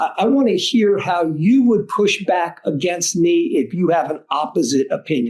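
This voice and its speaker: This is a male speaker. The pitch of his voice jumps around a great deal. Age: 60s. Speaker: fundraising executive and lawyer. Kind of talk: podcast interview. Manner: halting with repetitions.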